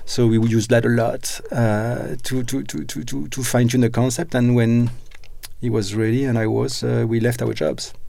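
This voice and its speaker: Speaking with a French accent, a man uses a medium pitch and a dark, mellow tone, at a moderate pace with ordinary pitch variation. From France. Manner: halting, hesitant.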